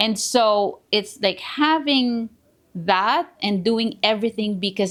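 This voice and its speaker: Lively intonation from a woman with a Filipino accent, on a very clean recording with a silent background. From Philippines, small town. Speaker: realtor. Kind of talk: podcast interview. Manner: halting.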